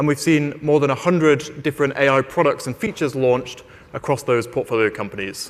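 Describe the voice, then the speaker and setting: Here is a man with a British accent and a fairly high pitch. He talks at a moderate pace with ordinary pitch variation. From Britain. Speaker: investment firm AI lead. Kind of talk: conference keynote talk. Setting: stage with audience. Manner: halting, many fillers and repeated words.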